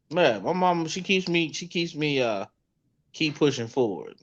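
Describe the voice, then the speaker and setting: Here a man talks at a fairly slow pace with ordinary pitch variation. He has a plain, everyday voice. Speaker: comedian and podcaster. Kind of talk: casual chat.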